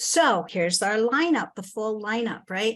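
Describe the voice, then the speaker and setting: Over a quiet background, a woman uses an ordinary speaking voice with a fairly high pitch at a moderate pace. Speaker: presenter at a community forum. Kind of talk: presentation. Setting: video call.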